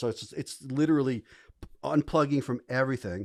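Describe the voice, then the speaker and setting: An animated man with a New York accent at a fairly quick pace, with ordinary pitch variation, a dry, close sound with no echo and a very clean recording with a silent background. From New York City (the Bronx). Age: 60s. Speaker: English professor, psychedelics advocate. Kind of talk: podcast interview, storytelling. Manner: animated, halting with many repeats.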